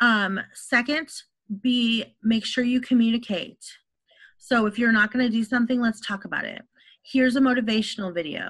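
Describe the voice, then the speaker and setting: Here is an unremarkable speaking voice from a woman with an American accent. Her pitch is fairly high, her intonation fairly even, her pace moderate. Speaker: online instructor presenting at faculty meeting. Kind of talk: presentation at a staff training meeting.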